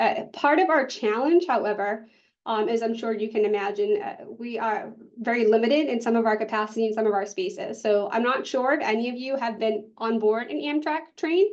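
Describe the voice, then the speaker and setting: With a Boston accent, a woman speaks at a fairly quick pace, her fairly high pitch carrying lively intonation. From US Northeast, Boston area. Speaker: public health specialist. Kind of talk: conference presentation.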